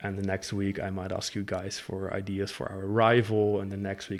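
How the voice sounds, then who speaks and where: A man with a Dutch accent speaks at a moderate pace and a fairly low pitch. The recording is very clean, with a silent background. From Netherlands. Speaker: fan game creator. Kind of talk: casual talk to camera. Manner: hesitant, many fillers.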